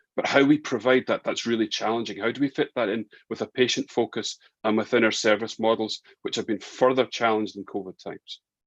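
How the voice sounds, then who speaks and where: Very fast and fairly even in intonation, a man's medium-pitched voice comes through with a dry, close sound and no echo. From Scotland, Glasgow. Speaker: respiratory physician. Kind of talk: webinar presentation. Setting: online webinar, video call. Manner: halting, frequent repetitions and fillers.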